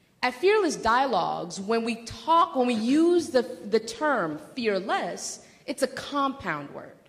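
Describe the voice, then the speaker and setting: Speaking very slowly with very wide pitch swings, a woman's fairly high voice carries audible room echo and noticeable background noise. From Democratic Republic of Congo. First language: not English (English is her fourth language). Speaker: doctoral student and workshop presenter. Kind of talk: lecture.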